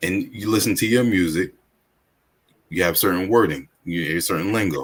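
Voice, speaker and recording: Speaking at a moderate pace, a man has a very deep, low pitch and ordinary pitch variation. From Staten Island, New York. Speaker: podcast host. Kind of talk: interview.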